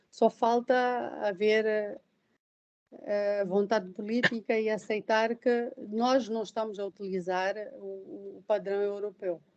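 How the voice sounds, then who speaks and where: A woman's fairly high voice at a very slow pace, with fairly even intonation and long, frequent pauses. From southern Mozambique. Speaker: professor, lecturer. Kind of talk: lecture Q&A discussion. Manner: hesitant, with repetitions.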